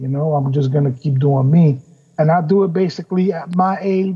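A man with a New York accent, dark, mellow tone, fairly slow pace and ordinary pitch variation. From New York City, Queens. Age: 40s. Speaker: rapper. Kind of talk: casual chat.

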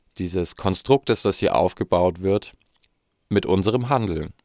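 This man has a fairly low pitch and ordinary pitch variation, speaking at a moderate pace. The recording is very clean and dry, with a silent background and a close sound with no echo. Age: 20s. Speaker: podcast host. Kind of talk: solo monologue. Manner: halting.

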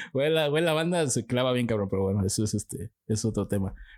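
In a very clean recording with a silent background, a man with a Mexican accent speaks at a moderate pace, his medium-pitched voice carrying lively intonation. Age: 20s. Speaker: podcast co-host. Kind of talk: casual chat.

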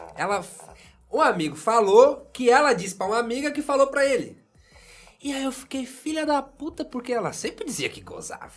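A man speaks at an extremely high pitch and a fairly quick pace. His intonation is lively, with big swings in loudness. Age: 30s. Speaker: podcast host. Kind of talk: casual chat. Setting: studio.

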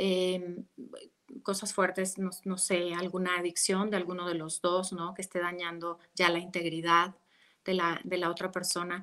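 Her bright, sharp tone sits at a fairly low pitch for a woman, delivered monotone and flat at a fairly slow pace. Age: 40s. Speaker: meditation teacher and relationship coach. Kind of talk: interview about relationships.

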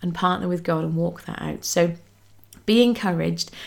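A woman with a British accent and a warm tone. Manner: warm, chatty, informal.

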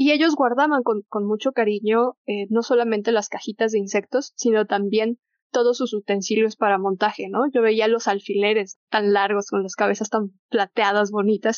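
A woman's fairly high voice at a moderate pace, fairly even in intonation, with hardly any pauses. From Mexico City. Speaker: naturalist. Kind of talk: casual chat. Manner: halting.

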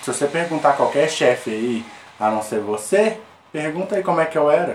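Amid noticeable background noise, a man speaks at a moderate pace with an animated tone and a fairly high pitch. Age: 20s. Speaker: podcast guest, company worker. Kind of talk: casual chat.

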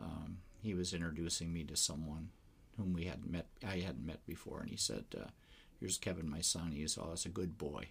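A man with an American accent speaks at a moderate pace in a very deep, low voice, showing vocal fry and ordinary pitch variation. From Wisconsin. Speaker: philosophy professor and pastor. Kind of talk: casual interview.

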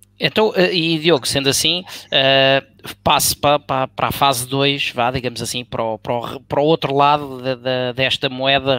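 A man speaks in a normal speaking voice at a moderate pace, with hardly any pauses and ordinary pitch variation. The sound is dry and close, with no echo. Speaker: football commentator. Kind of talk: panel discussion.

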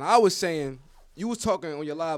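Lively intonation marks a man with an American accent speaking at a very fast pace on a very clean recording with a silent background. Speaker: podcast host. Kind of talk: casual banter. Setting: studio.

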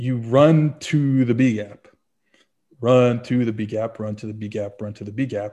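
In a plain, everyday voice, a man with an American accent speaks at medium pitch and a moderate pace, his intonation fairly even but his loudness swinging widely. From New Orleans, US South. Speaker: football analyst and writer. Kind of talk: casual interview chat.

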